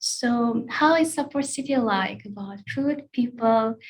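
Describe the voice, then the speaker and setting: A woman talks with a Russian accent. Her pitch is fairly high, with ordinary pitch variation. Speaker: language school staff. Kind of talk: online Q&A session. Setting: live online session. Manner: hesitant, many fillers.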